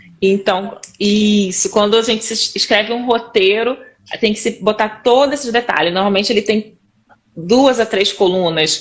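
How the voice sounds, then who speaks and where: This is a woman's voice with a fairly high pitch. Her intonation stays fairly even. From Rio de Janeiro, Brazil. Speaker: instructional designer and teacher. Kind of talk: casual interview chat on a live stream. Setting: live stream video call.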